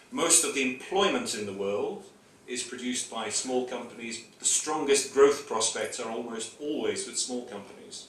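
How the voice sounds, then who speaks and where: A man with a British accent speaks at medium pitch with ordinary pitch variation, with audible room echo and noticeable background noise. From United Kingdom. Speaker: trade official, speaker at ceremony. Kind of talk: ceremony speech.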